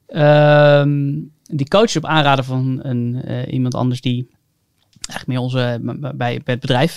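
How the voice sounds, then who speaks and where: A man with a normal speaking voice, medium pitch, ordinary pitch variation and a fairly slow pace. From North Holland, Haarlem. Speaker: entrepreneur. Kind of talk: casual chat.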